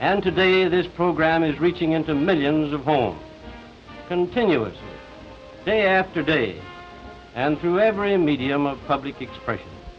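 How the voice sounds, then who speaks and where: A man at a fairly high pitch and moderate pace, with ordinary pitch variation, long, frequent pauses and music in the background. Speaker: business executive. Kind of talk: prepared speech to camera.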